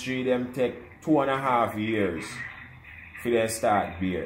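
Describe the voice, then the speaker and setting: In a Jamaican accent, a man talks at a fairly slow pace with ordinary pitch variation. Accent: Jamaican patois. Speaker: almond farmer. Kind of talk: casual conversation.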